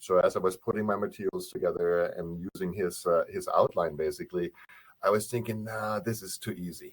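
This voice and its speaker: A man with a German accent speaks at a fairly quick pace. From Germany. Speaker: professor and author. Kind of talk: webinar presentation. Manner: mumbles a little; speaks fast when excited.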